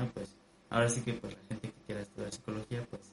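A man talks at a very fast pace. His voice is somewhat breathy and medium in pitch. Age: 20s. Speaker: musician and student. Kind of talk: casual chat.

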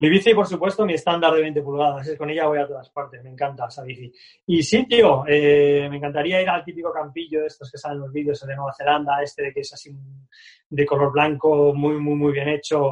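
Fairly quick and somewhat breathy, a man speaks at a fairly high pitch with fairly even intonation and big swings in loudness. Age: 50s. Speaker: BMX club founder and coach. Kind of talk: casual interview.

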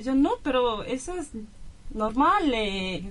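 Speaking very slowly in a high pitch, a woman with a Brazilian accent uses lively intonation and a bright, sharp tone. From Brazil, São Paulo. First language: Portuguese (speaking Spanish). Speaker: exchange student. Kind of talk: radio interview.

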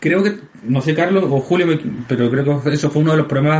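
A man with a fairly high pitch talks at a fairly quick clip, his pitch shifting in an ordinary way. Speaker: art director and game creator. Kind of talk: casual chat. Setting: home recording. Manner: halting.

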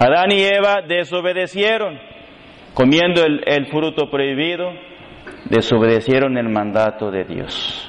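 Over noticeable background noise, a man with a fairly high voice speaks at a fairly slow pace with very wide pitch swings. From Mexico, Reynosa. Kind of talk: sermon.

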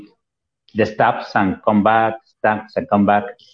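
Speaking at a fairly slow pace, a man talks in a Spanish accent. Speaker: English teacher, radio co-host. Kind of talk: casual educational chat. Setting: on a cell phone connection. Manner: halting, many repetitions.

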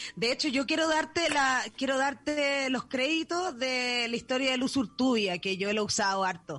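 The speaker has a Chilean accent and lively intonation, at a moderate pace. Loudness stays very even, with hardly any pauses. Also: woman, high pitch for a woman. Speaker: podcast host. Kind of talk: casual chat. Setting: borrowed home studio.

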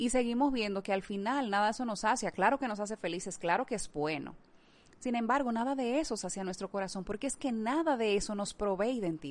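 Fairly high in pitch with ordinary pitch variation, a woman speaks in a plain, everyday voice. She moves at a fairly quick pace against a quiet background. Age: 30s. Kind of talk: devotional talk.

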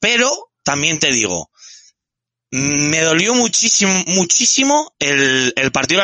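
The pitch of this man's voice swings very widely. It sits fairly high overall. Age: 30s. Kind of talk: casual chat.

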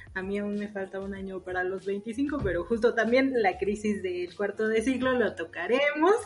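A woman speaks at a moderate pace and medium pitch, with ordinary pitch variation, hardly any pauses and noticeable background noise. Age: 20s. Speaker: podcast co-host. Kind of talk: casual chat. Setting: recording from home.

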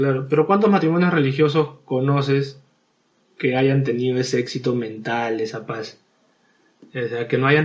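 A somewhat breathy voice moves at a moderate pace. Its pitch varies in an ordinary way. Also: man. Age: 30s. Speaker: podcast guest. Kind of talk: casual debate.

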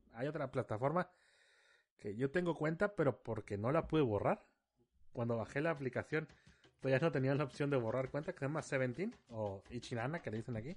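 A man talks at a fairly quick pace with lively intonation and a medium pitch, in a plain, everyday voice. The background is quiet. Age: 30s. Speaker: podcast host. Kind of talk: casual solo podcast monologue.

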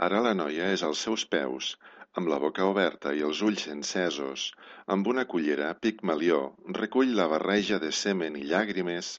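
Intense in tone, a man speaks with a very deep, low pitch, vocal fry and ordinary pitch variation. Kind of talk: dramatic narration of a short story, read aloud. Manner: intense, charged storytelling that builds with the plot.

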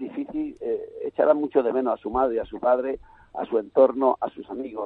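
This man talks at a moderate pace. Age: 60s. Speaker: youth football coach. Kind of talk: radio interview.

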